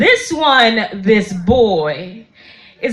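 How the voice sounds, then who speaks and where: The pitch swings very widely. Noticeable background noise runs under the voice. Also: woman. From Malawi. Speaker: poet. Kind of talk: spoken word poetry performance. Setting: live event.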